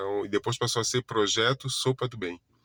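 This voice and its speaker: Recorded very cleanly with a silent background and a dry, close sound with no echo, a man speaks at a moderate pace. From Brazil, Florianópolis, Santa Catarina. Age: 40s. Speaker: holistic therapist. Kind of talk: casual self-introduction monologue. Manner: halting, many self-corrections and fillers.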